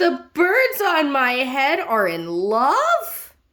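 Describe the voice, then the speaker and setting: A woman's put-on character voice, high-pitched, very slow, with very wide pitch swings. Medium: read story. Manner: fretful, careful.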